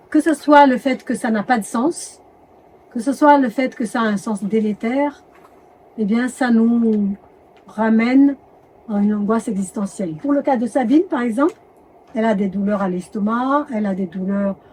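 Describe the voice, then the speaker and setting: A woman with a fairly high pitch speaks at a moderate pace, her dark, mellow voice somewhat breathy with ordinary pitch variation. She leaves long, frequent pauses. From Madagascar. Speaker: doctor and medical anthropologist. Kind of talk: interview. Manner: hesitant, with self-corrections.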